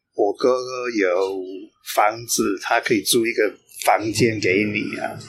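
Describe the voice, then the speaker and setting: A man talks at a very slow pace. His speech is in an English accent. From England. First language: English (speaking Chinese). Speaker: long-term expat, interviewee. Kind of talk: casual interview. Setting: cafe. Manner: halting, many fillers.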